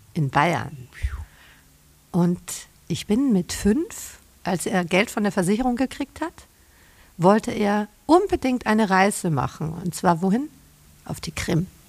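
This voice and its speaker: Speaking very slowly, a woman at medium pitch makes very wide pitch swings and leaves long, frequent pauses. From Bavaria, Franconia (south of Nuremberg). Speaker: writer and journalist. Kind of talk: casual interview. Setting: outdoors on a terrace.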